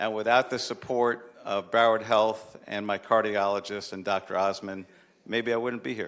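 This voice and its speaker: Monotone, flat intonation runs through this man's speech. He speaks at a moderate pace with a fairly low pitch. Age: 60s. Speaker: city commission member presenting proclamation. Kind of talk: public meeting remarks. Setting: city commission chamber.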